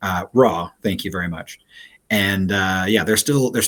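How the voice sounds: The speaker reads in a natural reading voice with ordinary pitch variation.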